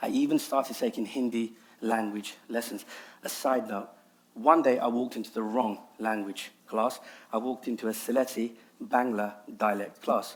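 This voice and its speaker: Monotone and flat in intonation, a man with a London accent speaks at a moderate pace and medium pitch. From London, England. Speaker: nasheed artist and public speaker. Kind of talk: TEDx talk.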